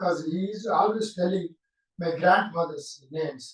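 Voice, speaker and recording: This man talks at a moderate pace with a Telugu accent. His pitch is high. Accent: Telugu-accented English, non-native. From India, Andhra Pradesh (Bapatla). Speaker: whistling musician. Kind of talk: interview, life story. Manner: halting, many fillers.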